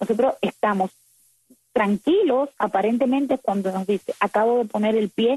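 A woman's fairly high, dark and mellow voice, with ordinary pitch variation and a fairly quick pace. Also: dry, close sound with no echo. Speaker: activist. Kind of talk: interview.

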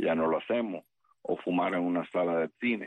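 The man's pitch is very deep and low. He talks at a moderate pace, his intonation fairly even. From Cuba. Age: 60s. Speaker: retired US Army colonel, military analyst. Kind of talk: interview.

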